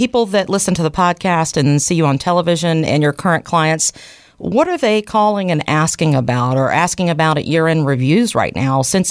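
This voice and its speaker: A woman with an unremarkable speaking voice talks at a fairly quick pace, her intonation lively and her loudness very even. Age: 40s. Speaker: podcast co-host. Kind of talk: casual chat.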